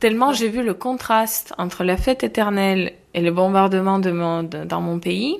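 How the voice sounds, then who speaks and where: With hardly any pauses, a woman speaks in an Eastern European accent at a moderate pace, her medium pitch showing ordinary variation, on a very clean recording with a silent background. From Ukraine, Kharkiv. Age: 20s. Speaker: Ukrainian refugee. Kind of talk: interview testimony.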